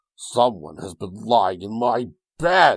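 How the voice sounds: A man's gruff, put-on character voice at a medium pitch. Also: fairly slow pace.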